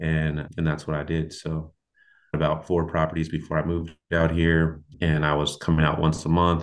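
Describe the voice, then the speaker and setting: Over a quiet background, a man with an American accent talks at a moderate pace in a very deep, low, monotone voice with flat intonation. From Portland, Oregon. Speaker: construction company founder. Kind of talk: interview conversation.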